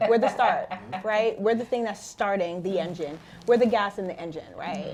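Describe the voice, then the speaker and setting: In a New York accent, a woman with a medium pitch speaks in an animated tone with ordinary pitch variation. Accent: New York area American. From Mount Vernon, New York. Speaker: financial counselor. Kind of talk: interview. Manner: fast.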